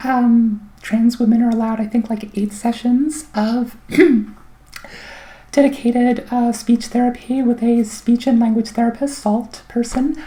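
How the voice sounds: Slow and fairly even in intonation, a woman speaks at a fairly high pitch in a dark, mellow tone.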